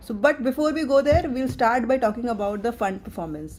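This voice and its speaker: At a moderate pace, a woman speaks with lively intonation and a somewhat breathy sound. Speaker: fund manager. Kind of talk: investor webinar presentation. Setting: live stream. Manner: low volume.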